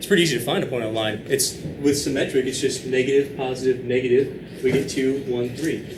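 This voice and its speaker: A man with a medium-pitched voice speaks over noticeable background noise, with audible echo in the room. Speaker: math teacher. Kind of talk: lecture. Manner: fast.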